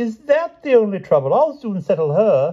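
A man's put-on character voice, high in pitch with big pitch swings, a slightly husky edge and a moderate pace

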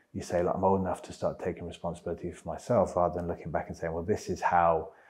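Very deep and low, this man's voice is monotone with flat intonation. He speaks at a very fast pace against a quiet background. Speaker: interview guest. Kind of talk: interview answer. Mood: reflective, earnest. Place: home room. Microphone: lapel.

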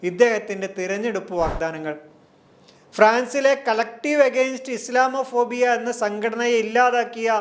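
A man with an extremely high pitch and ordinary pitch variation. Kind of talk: scripted narration. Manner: formal.

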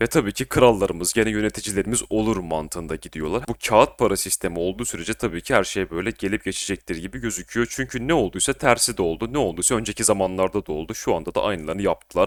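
The speech races at a very fast pace with hardly any pauses, in a very clean, dry, close recording with no echo and a silent background. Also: man, fairly low pitch for a man, ordinary pitch variation. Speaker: crypto and markets analysis youtuber. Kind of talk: market analysis monologue. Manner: casual, conversational.

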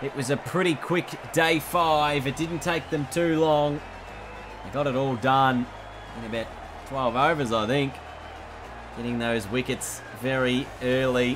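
Over music in the background, a man with a medium pitch talks at a fairly slow pace, leaving long, frequent pauses and using ordinary pitch variation. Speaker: gaming video creator and commentator. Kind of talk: cricket commentary over game highlights. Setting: voiceover recorded over game footage. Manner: rising urgency at wickets, dramatic.

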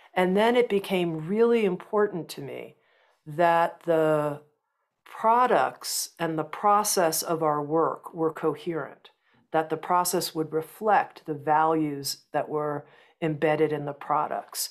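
Calm-toned woman with a very deep, low pitch and ordinary pitch variation at a very slow pace. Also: quiet background. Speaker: publishing company founder. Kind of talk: interview conversation. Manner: slow, calm. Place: home room. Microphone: earbuds.

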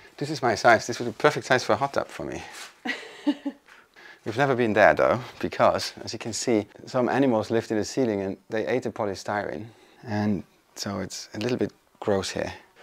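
A man with a fairly low pitch keeps a moderate pace, and his pitch varies in an ordinary way. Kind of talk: casual vlog chat. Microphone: phone near.

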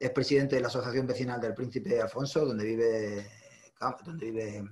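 Somewhat breathy, this man talks at a moderate pace with ordinary pitch variation. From Ceuta. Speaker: union workplace delegate; interviewee. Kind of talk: interview. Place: home room. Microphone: video call.

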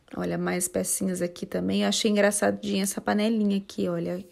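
The recording is very clean, with a silent background, and the woman's speech moves along at a fairly quick pace. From São José dos Campos, São Paulo state, Brazil. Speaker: YouTuber / vlogger. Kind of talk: vlog tour narration. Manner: casual, chatty.

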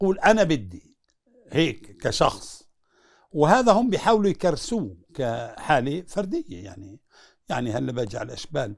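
Over a quiet background, a man talks in a fairly high pitch with very wide pitch swings. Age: 70s. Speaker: former prisoner. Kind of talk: interview. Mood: earnest, recounting prison hardship. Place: home room. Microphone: lapel.

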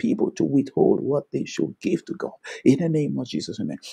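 The background stays quiet while a man talks. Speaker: preacher and prayer teacher. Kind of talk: fervent intercessory prayer, led aloud with Amens. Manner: fervent, declarative, commanding; rhythmic, repeating 'Thank you, Lord' and 'in the name of Jesus'. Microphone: video call.

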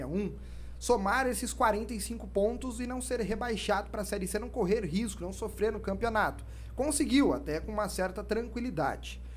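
Someone talks at a fairly quick pace over light background noise. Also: man. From Brazil, interior São Paulo. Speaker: sports podcast host. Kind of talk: casual sports chat. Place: studio. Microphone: studio mic.

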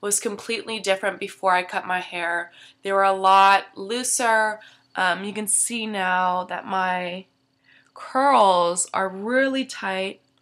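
On a very clean recording with a silent background, a woman speaks at a very slow pace with fairly even intonation. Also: medium pitch for a woman. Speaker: beauty vlogger. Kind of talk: casual vlog. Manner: hesitant, many fillers.

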